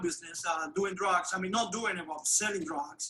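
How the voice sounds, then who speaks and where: A man with a high pitch uses a raised, projected voice over noticeable background noise. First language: Spanish. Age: 60s. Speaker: formerly incarcerated immigrant telling his story. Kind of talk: testimony. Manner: halting, many hesitations.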